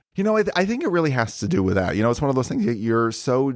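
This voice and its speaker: On a very clean recording with a silent background, a man with a slight New Jersey accent speaks with ordinary pitch variation. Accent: slight New Jersey accent, shows on some words. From northern New Jersey. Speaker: OB-GYN physician. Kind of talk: interview. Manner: casual, conversational with fillers.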